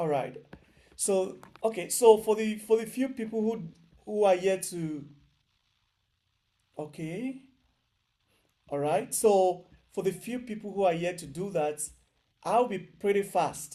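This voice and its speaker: Loud and dark in tone, a man speaks at a high pitch with ordinary pitch variation. His pace is fairly slow, with long, frequent pauses and a mellow quality. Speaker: programming instructor. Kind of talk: online lecture.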